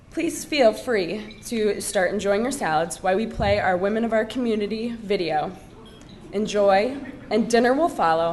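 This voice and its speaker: There is audible room echo and noticeable background noise while a woman talks with lively intonation. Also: medium pitch for a woman, moderate pace. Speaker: event emcee. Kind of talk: event announcement. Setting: dinner event.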